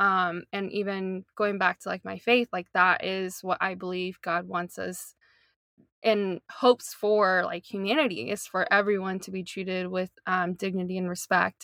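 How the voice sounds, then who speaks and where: A woman with an American accent, medium pitch and a bright, sharp tone, fairly even intonation, a moderate pace, in a dry, close sound with no echo. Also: very clean recording, silent background. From US South, North Carolina. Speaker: social justice advocate. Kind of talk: casual chat.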